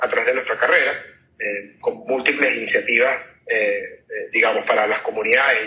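A man with a Caracas accent talks at a fairly quick pace. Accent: Venezuelan Spanish (Caracas). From Venezuela. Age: 40s. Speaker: startup CEO and physician. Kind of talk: interview.

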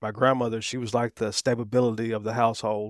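A man talks at a fairly quick pace in a flat monotone. The recording is very clean, with a silent background. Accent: Southern US. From Atlanta area, Georgia, US South. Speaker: recovering addict sharing testimony. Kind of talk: testimony.

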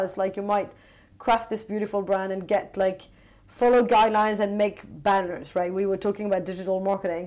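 A woman speaks with a French accent at a moderate pace. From France. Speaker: tech marketing executive. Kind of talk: interview. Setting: remote call.

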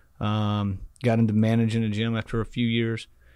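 A man with an American accent, an unremarkable speaking voice, medium pitch and a moderate pace. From Texas, Rockwall near Dallas. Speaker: gym business founder and CEO. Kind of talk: interview. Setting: studio.

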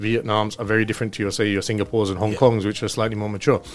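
This is a man speaking. His pitch is fairly low. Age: 30s. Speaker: finance company executive. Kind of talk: casual interview.

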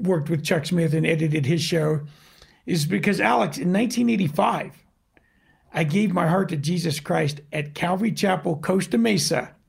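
This man has an unremarkable speaking voice, fairly high in pitch, with ordinary pitch variation at a moderate pace. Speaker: audio video producer. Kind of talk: casual chat.

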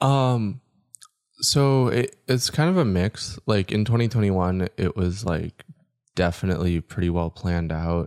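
In an American accent, a man talks at a fairly slow pace with lively intonation, recorded very cleanly against a silent background with a dry, close sound and no echo. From Utah. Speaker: DJ, producer and van dweller. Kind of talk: casual interview chat.

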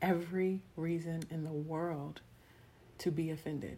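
A woman with a very deep, low pitch and an American accent talks at a fairly slow pace with fairly even intonation, and room echo is audible. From Texas. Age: young. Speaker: podcast host. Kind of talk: devotional talk. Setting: recording on camera at home. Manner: conversational, with many fillers.

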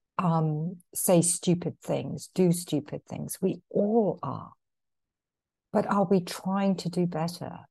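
Very slowly, a woman speaks in a somewhat breathy, dark, mellow tone at a fairly low pitch with fairly even intonation. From England, London. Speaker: author and poetry therapy facilitator. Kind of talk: podcast interview.

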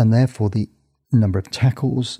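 With a dark, mellow, somewhat breathy tone, a man talks at a fairly quick pace and fairly low pitch in a dry, close sound with no echo. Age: 60s. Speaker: sports surgeon and author. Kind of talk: interview answers.

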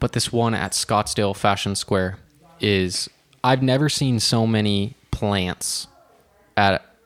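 A man with an American accent speaks at a fairly slow pace in a plain, everyday voice, fairly low with ordinary pitch variation. The sound is dry and close, with no echo. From Washington state (Snohomish, near Seattle). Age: 20s. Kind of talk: casual chat.

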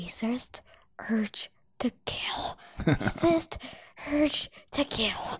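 A female-sounding put-on character voice whispers and mumbles at a very slow pace, with long, frequent pauses. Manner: mumbling under breath, nervous.

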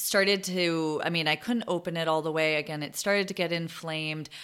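With an American accent, a woman speaks at a fairly low pitch and with fairly even intonation on a very clean recording with a silent background. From Boston, US. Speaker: podcast host, former dental hygienist and wellness coach. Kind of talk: solo podcast talk.

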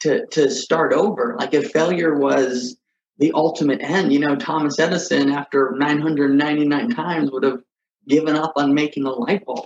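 A man's plain, everyday voice, fairly high in pitch, at a moderate pace. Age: 30s. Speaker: video podcast host. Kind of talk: solo personal monologue.

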